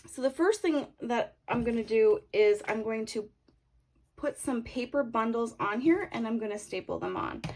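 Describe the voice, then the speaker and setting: Here a woman speaks with a slight Canadian accent. Her pace is moderate. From Canada. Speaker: craft tutorial creator. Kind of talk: tutorial. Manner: casual, hesitant with fillers.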